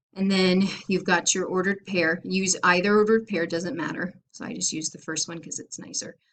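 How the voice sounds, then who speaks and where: A woman talks at a fairly quick pace with hardly any pauses, using an ordinary speaking voice at a medium pitch. Her intonation is fairly even, but her loudness swings a lot. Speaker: math teacher. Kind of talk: lecture. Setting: recorded video lesson.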